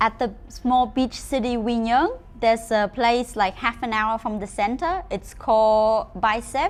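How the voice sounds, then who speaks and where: A woman with a Vietnamese accent, fairly high-pitched, at a fairly slow pace with ordinary pitch variation. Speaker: motorbike rental company employee. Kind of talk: travel route advice to camera.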